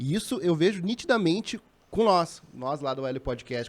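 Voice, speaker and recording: A man speaks with a southern Brazilian accent. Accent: gaúcho Brazilian Portuguese. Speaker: podcast co-host. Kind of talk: casual chat.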